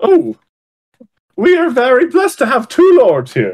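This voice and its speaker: A man speaks at a moderate pace in a put-on character voice pitched extremely high for a man. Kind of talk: comic overacting. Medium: actual play. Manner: pompous, formal, loud.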